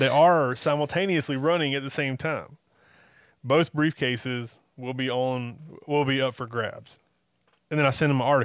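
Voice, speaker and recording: With a Southern US accent, a man speaks in fairly even intonation on a very clean recording with a silent background. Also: fairly high pitch for a man, moderate pace. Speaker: wrestling podcast host. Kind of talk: casual chat.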